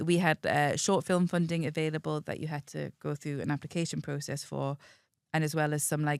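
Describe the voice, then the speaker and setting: In a Geordie accent, a woman talks at a fairly quick pace with a very deep, low pitch. The recording is very clean, with a silent background and a dry, close sound with no echo. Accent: soft Geordie. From northern England, Whitley Bay near Newcastle. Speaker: film development executive. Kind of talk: casual chat.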